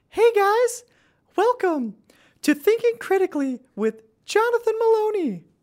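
This put-on character voice is squeaky and extremely high-pitched, moving at a moderate pace with long, frequent pauses. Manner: mock, playful.

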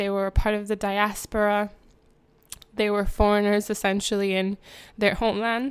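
A woman talks at a medium pitch. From Jamaica. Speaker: podcast host. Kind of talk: casual monologue. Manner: hesitant, many fillers.

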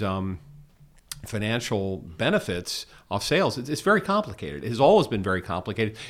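A man speaks at a moderate pace with an American accent, in an ordinary speaking voice at a medium pitch. The recording is very clean, with a silent background. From US, Washington DC. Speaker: musician and tech investor. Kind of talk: casual interview.

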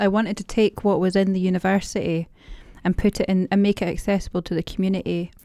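A woman's medium-pitched voice in a Dundee accent, very fast and monotone with flat intonation, dark and mellow in tone, with a dry, close sound and no echo. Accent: Scottish (Dundee). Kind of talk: casual interview chat.

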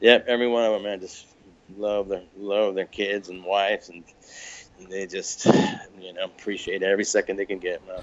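A man with a fairly low pitch, monotone, flat intonation, big swings in loudness and long, frequent pauses over noticeable background noise. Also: fairly quick pace. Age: 50s. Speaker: musician and songwriter. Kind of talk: casual interview.

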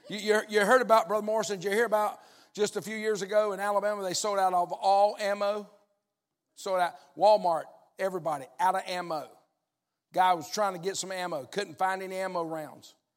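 A man's high-pitched voice, fairly quick in pace, with fairly even intonation. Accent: Southern US. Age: 60s. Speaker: pastor. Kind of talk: sermon. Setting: church.

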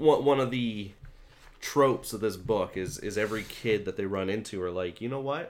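This man has an unremarkable speaking voice with a fairly low pitch, ordinary pitch variation and a moderate pace. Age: 30s. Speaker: podcast host. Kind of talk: casual chat.

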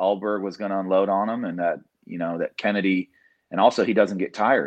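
Over a quiet background, the speaker uses an American accent, fairly even intonation and a moderate pace. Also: man. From Indiana, US Midwest. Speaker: MMA coach. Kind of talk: casual interview. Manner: halting, many fillers and repeated words.

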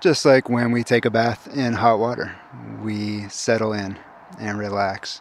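Speaking at a fairly slow pace, a man has a plain, everyday voice at a medium pitch. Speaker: forest bathing guide. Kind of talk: interview.

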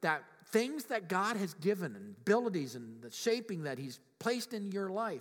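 A high-pitched man speaks with very wide pitch swings and big swings in loudness. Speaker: pastor. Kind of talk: sermon.

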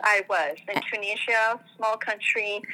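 A woman speaks over noticeable background noise. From France. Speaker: parenting mentor. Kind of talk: interview.

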